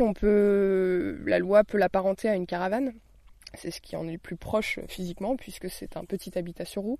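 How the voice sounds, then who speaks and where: This woman's voice sits at a medium pitch. Its tone is dark and mellow. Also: big swings in loudness, quiet background. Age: 20s. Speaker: designer living in a tiny house. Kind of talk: interview. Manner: halting, many fillers and repetitions.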